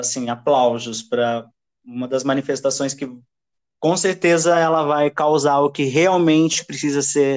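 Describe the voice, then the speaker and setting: A man's fairly high voice, very slow pace and ordinary pitch variation. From São Paulo metro area, Brazil (Osasco). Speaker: podcast host. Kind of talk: casual interview chat. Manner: animated.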